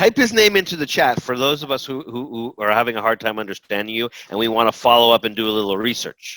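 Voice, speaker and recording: With a bright, sharp tone and a medium pitch, a man talks at a very fast pace with ordinary pitch variation, the sound dry and close with no echo. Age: 50s. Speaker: baker and pizza class host. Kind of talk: casual interview. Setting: video call.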